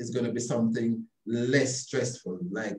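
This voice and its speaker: A man's somewhat breathy voice at a fairly quick pace, ordinary pitch variation, quiet background and audible room echo. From born in London, raised from 13 in rural Jamaica (St. Elizabeth); Jamaica. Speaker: obstetrician and gynecologist; interviewee. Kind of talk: interview about his life. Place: office. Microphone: video call.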